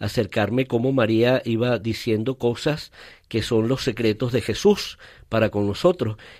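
A man's medium-pitched voice moves at a fairly slow pace with fairly even intonation. The recording is very clean, with a silent background. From Venezuela (Caracas, raised in Valencia). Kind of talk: interview. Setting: studio. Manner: halting.

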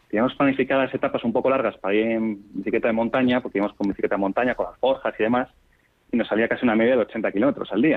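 A man at a very fast pace, with fairly even intonation. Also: medium pitch for a man. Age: 40s. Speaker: amateur cyclist. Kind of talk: interview. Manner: halting.

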